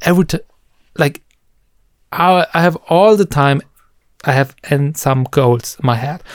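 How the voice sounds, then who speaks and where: A man speaks at a fairly high pitch and a fairly slow pace, with ordinary pitch variation and long, frequent pauses. The sound is dry and close, with no echo. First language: German. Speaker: musician. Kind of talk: casual chat.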